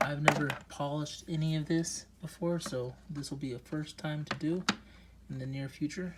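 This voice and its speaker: A man talks at a moderate pace, his pitch fairly high and his intonation fairly even. Noticeable background noise sits behind him. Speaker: rock collector video creator. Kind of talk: casual unboxing chat. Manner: hesitant, filler words; soft-spoken.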